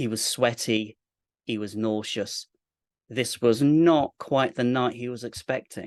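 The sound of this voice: Ordinary pitch variation shapes an unforced reading voice, and the background stays quiet.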